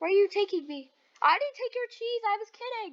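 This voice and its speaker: A squeaky put-on character voice at an extremely high pitch and a fairly quick pace. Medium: game stream. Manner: playful, jokey.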